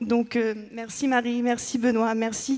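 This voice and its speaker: Here a woman speaks at a high pitch. Her intonation is monotone and flat. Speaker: event organizer. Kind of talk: emotional thank-you speech.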